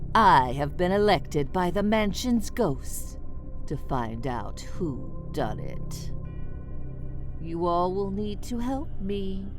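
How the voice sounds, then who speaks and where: Over loud music in the background, someone uses a put-on character voice at a very slow pace. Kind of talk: party game narration. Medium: solo performance. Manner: playful, theatrical.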